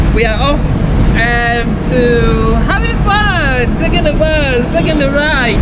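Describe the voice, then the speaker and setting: Loud background noise behind a woman speaking. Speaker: vlogger. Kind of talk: casual vlog chat. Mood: excited, cheerful. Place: street. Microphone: phone near.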